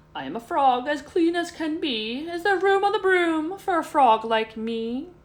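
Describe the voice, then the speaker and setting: A woman uses a put-on character voice. It sits extremely high in pitch and moves at a moderate pace. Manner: polite.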